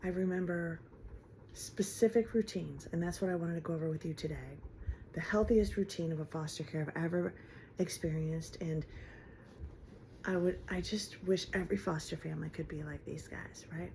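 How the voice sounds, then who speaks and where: A woman with an American accent, somewhat breathy, at a fairly quick pace with ordinary pitch variation and long, frequent pauses. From Ohio, US. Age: 50s. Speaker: vlogger. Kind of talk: personal vlog monologue. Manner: halting, with fillers and restarts.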